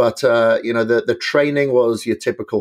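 A man with a Welsh accent and fairly even intonation, against a quiet background. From Wales. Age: 40s. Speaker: bodybuilder and endurance athlete. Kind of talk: podcast interview.

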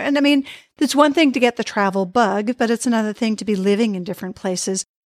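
A woman's normal speaking voice, fairly high in pitch, with an American accent and ordinary pitch variation, in a very clean recording with a silent background. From Boston area, US. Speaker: podcast host. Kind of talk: casual interview chat. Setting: call.

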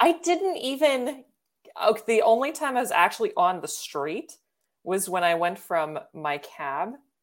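Speaking at a fairly slow pace, a woman's fairly high pitch rises and falls in very wide swings. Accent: American. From Baltimore, US. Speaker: video editor and coach. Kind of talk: casual interview.

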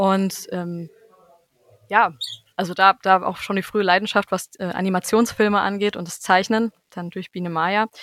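A woman speaks at a moderate pace and medium pitch with monotone, flat intonation. Her loudness swings widely, and the sound is dry and close with no echo. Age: 20s. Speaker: musician and music teacher. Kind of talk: interview.

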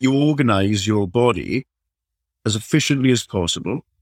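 In a dry, close sound with no echo, a man with a Welsh accent talks at a fairly slow pace. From South Wales. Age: 40s. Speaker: strength and conditioning coach. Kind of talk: casual chat.

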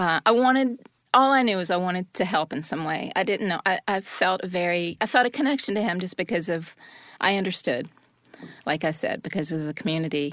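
A woman with a plain, everyday voice, medium pitch, lively intonation and a fairly quick pace, on a very clean recording with a silent background. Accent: American. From US South. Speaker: wife of exonerated prisoner. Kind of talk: interview.

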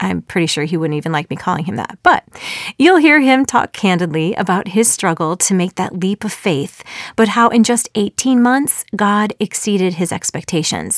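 With an American accent, a woman with an unremarkable speaking voice and medium pitch talks at a moderate pace with lively intonation. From Chicago suburbs, US Midwest. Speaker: podcast host, former musical theater actor. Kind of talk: interview conversation; scripted intro. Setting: studio.

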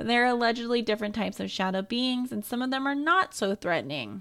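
A fairly high-pitched woman's voice with ordinary pitch variation, an ordinary speaking voice. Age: 20s. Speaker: podcast co-host. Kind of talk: casual chat; reading aloud.

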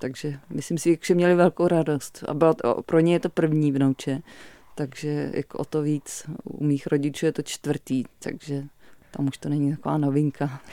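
A woman's very deep, low voice with a dark, mellow tone, fairly even intonation and a moderate pace. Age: 40s. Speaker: visual artist and lecturer. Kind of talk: radio interview. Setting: radio studio. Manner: halting, many fillers.

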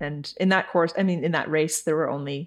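In a Californian accent, a woman with a very deep, low pitch talks at a fairly quick pace with fairly even intonation. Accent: Californian American. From California, Santa Cruz. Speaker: amateur cyclist. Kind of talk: interview.

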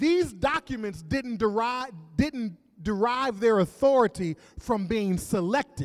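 Plain reading aloud is all this recording holds.

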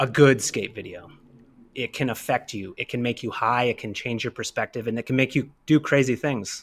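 In a Canadian accent, a man talks at a moderate pace and medium pitch with ordinary pitch variation, in a plain, everyday voice. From Canada, Kamloops, British Columbia. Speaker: rollerblader. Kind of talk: casual chat.

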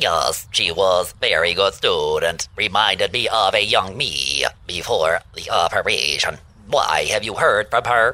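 A man's robotic, put-on character voice, fairly low in pitch and at a fairly slow pace. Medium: comedy sketch. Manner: formal, stilted.

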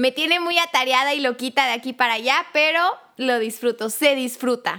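In a very clean recording with a silent background, a woman with a high pitch uses a raised, projected voice with a bright, sharp tone at a moderate pace. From Mexico, Chiapas. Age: 20s. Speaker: lawyer, catechist and storytelling podcast narrator. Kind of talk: casual interview. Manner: animated.

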